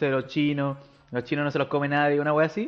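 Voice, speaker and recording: The man here has a fairly high-pitched voice. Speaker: podcast host. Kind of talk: casual chat.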